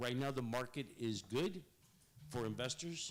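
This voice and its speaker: With a south Texas accent, a man talks at a moderate pace. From Rio Grande Valley, south Texas. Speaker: marketing consultant. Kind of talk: public presentation. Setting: public meeting in a museum.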